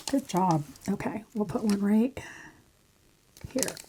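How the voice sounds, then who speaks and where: Soft-spoken, a woman talks at a very slow pace. Her pitch is fairly high with ordinary pitch variation. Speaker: crafting YouTuber. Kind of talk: craft tutorial. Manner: casual, chatty.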